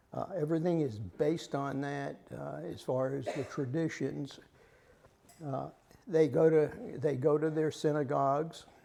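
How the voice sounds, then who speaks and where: A man with an American accent speaks fairly slowly, with long, frequent pauses, over audible room echo. His fairly high-pitched voice has a dark, mellow tone and fairly even intonation. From US South. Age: 80s+. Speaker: lay Bible study leader. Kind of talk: lecture. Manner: halting.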